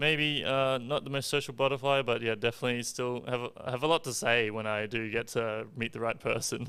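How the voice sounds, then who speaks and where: A man with an Australian accent at medium pitch, fairly quick with hardly any pauses, bright and sharp in tone, with fairly even intonation. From Australia, Darwin (Northern Territory). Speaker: esports gamer. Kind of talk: podcast interview. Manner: quiet, halting.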